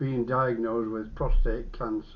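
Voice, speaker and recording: A man with an English accent at medium pitch. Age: 80s+. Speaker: vlogger documenting his cancer. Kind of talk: personal video diary. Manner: halting.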